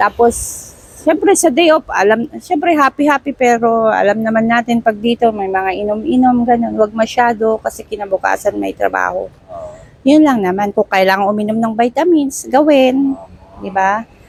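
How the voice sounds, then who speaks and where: There is noticeable background noise as a woman with a fairly high pitch speaks at a moderate pace, the sound dry and close with no echo. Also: ordinary pitch variation. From Baguio, Philippines. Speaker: driver, former domestic helper. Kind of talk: casual interview. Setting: outdoors under a bridge.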